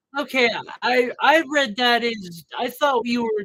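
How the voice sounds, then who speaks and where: Speaking at a fairly slow pace, a man uses a bright, sharp tone and lively intonation. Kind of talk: casual livestream chat. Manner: halting.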